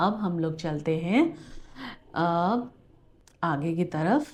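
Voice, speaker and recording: A woman's dark, mellow voice, fairly low in pitch. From India. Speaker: travel vlogger. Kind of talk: vlog narration. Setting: museum walkthrough.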